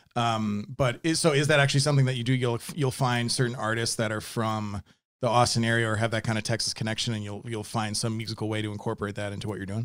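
A man at medium pitch, very fast pace and fairly even intonation, with hardly any pauses, in a very clean recording with a silent background. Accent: American. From Wisconsin, near Milwaukee. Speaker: podcast host and music composer. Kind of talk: casual interview chat.

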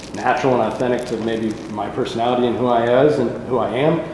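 A man talks at a very fast pace in a medium pitch. Noticeable background noise and audible room echo fill the recording. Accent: American. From Northern California (Davis). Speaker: wine business partner. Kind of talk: oral history interview. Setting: winery tasting room.

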